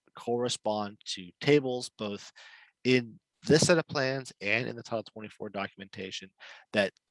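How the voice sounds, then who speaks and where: A man with a fairly low pitch and ordinary pitch variation swings widely in loudness, recorded in a dry, close sound with no echo. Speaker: webinar presenter on building permits. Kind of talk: webinar presentation. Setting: online webinar. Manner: fast.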